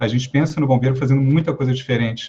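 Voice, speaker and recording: A man speaks at a medium pitch with a dark, mellow tone. His voice is somewhat breathy. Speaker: firefighter officer and psychologist. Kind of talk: lecture. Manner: fast.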